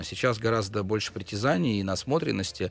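A man's fairly low-pitched voice, an unremarkable speaking voice with ordinary pitch variation. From Russia, Pskov. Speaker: bar co-founder. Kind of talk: casual interview.

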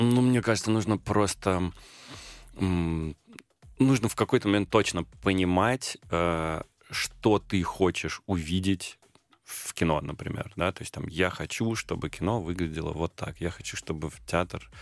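A man's very deep, low voice at a fairly slow pace, with ordinary pitch variation and a dry, close sound with no echo. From Moscow region, Russia. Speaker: film and theatre director. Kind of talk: radio interview.

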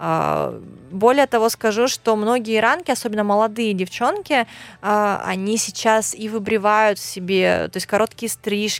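In a normal speaking voice, a woman talks at a fairly slow pace with a fairly high pitch and fairly even intonation, on a very clean recording with a silent background. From Russian Far East, Khabarovsk. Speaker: blogger. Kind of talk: casual interview.

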